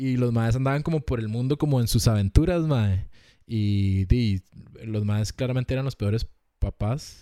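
A man with a Costa Rican accent speaks at a moderate pace and medium pitch, his tone dark and mellow with ordinary pitch variation, in a very clean recording with a silent background and a dry, close sound with no echo. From Costa Rica, Moravia (San José). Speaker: podcast host. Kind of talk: casual chat.

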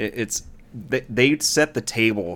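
In a normal speaking voice, a man with a fairly low pitch speaks with lively intonation. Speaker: co-host. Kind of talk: casual chat.

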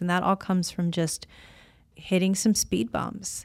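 Heard at a moderate pace, a plain, everyday voice comes through on a very clean recording with a silent background. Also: woman. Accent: American. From US Midwest (Illinois). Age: 50s. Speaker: podcast host, former wrestler and actress. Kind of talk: casual chat.

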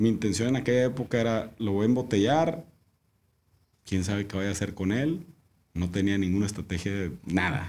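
A man with a fairly low pitch speaks at a moderate pace with lively intonation and long, frequent pauses. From Mexico, Monterrey. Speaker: winemaker. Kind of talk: casual chat.

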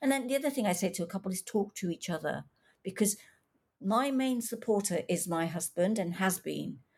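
A somewhat breathy woman's voice at medium pitch, with lively intonation and a fairly quick pace. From England, Coventry (born in East Africa). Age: 60s. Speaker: author. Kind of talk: interview.

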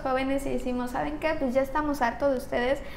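In a room with audible echo, a woman speaks at a high pitch with monotone, flat intonation. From Mexico. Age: 20s. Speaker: young politician, tourism graduate. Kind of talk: interview. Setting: studio.

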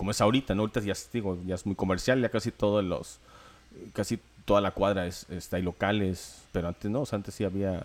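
Very fast speech from a man, fairly low in pitch, the intonation fairly even. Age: 40s. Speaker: podcast co-host. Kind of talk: casual chat.

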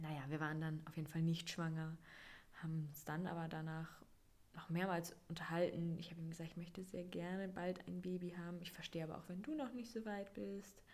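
Fairly low in pitch, a woman talks at a fairly quick pace with ordinary pitch variation, and room echo is audible. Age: 20s. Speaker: podcast host, mother. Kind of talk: personal storytelling monologue.

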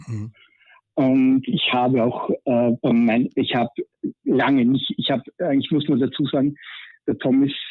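Pausing long and often, a man speaks at a medium pitch and a fairly slow pace with fairly even intonation. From Styria, Austria. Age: 40s. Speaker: caller. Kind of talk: casual chat.

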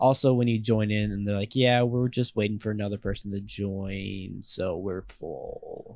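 A man with a plain, everyday voice speaks at a moderate pace, his fairly low pitch held to fairly even intonation. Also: hardly any pauses. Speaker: podcast guest, scooter rider. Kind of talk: casual chat.

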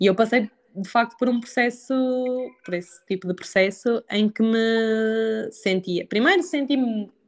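In a central Portugal accent, a woman speaks at a fairly slow pace. Her fairly high pitch shows ordinary variation. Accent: European Portuguese, central Portugal. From Portugal, Aveiro district. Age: 20s. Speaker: nutritionist. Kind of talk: casual chat. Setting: remote recording without headphones.

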